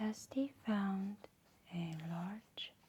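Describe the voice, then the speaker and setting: The speaker is soft-spoken. The tone is calm. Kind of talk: soft-spoken ASMR storybook reading. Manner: soft-spoken, calm.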